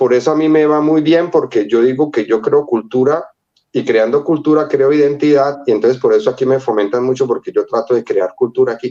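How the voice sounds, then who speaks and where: Speaking at a fairly quick pace, a man has a fairly high pitch, a dark, mellow tone, ordinary pitch variation and very even loudness. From Colombia, Cali (early childhood in Venezuela). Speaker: illustrator. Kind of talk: interview storytelling. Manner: animated.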